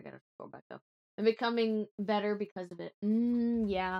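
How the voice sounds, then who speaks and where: A woman's fairly high voice in a dry, close sound with no echo, moderate pace and fairly even intonation. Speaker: streamer doing tarot readings. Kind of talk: casual live stream chat; tarot reading. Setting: live stream. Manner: casual, with fillers; put-on Southern accent during readings. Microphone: new mic settings, sounds far when turned away.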